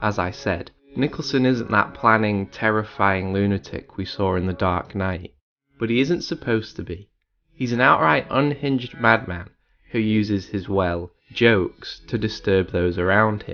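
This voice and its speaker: This is a plain, everyday voice with ordinary pitch variation, moving at a moderate pace. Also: man, fairly low pitch for a man. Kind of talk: video essay narration.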